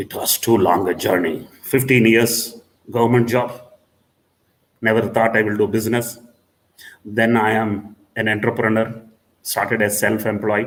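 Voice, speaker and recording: Speaking at a fairly slow pace in a flat monotone, a man leaves long, frequent pauses as audible room echo surrounds him. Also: medium pitch for a man. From South India. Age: 60s. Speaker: diagnostics business owner. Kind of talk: conference keynote speech.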